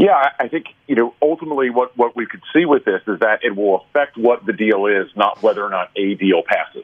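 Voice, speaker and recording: With an ordinary speaking voice, a man talks at a fairly quick pace and a medium pitch, using lively intonation and hardly any pauses. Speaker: political commentator. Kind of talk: panel discussion.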